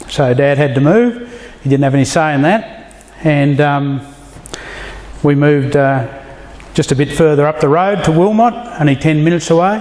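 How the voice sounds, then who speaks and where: Over noticeable background noise, a man with a rural Australian accent and a fairly high voice talks at a moderate pace with lively intonation, very even loudness, and long, frequent pauses. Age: 50s. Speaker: church member giving testimony. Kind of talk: testimony. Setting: men's fellowship dinner with audience.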